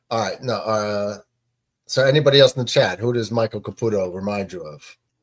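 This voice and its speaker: A man with a New York accent, medium pitch and ordinary pitch variation, a fairly quick pace broken by long, frequent pauses, and big swings in loudness. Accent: New York East Coast. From New York City. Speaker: live stream host, baseball watch party. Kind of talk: casual chat.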